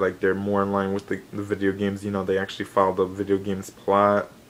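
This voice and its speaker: A man's fairly low voice amid noticeable background noise. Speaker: gaming and anime YouTuber. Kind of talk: casual vlog news update. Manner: hesitant, many fillers.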